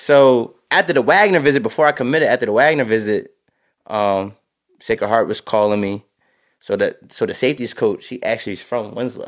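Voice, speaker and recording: A man with a New Jersey accent, medium in pitch, lively in intonation, at a fairly quick pace. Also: very clean recording, silent background. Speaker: high school football coach. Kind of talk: casual chat. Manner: animated.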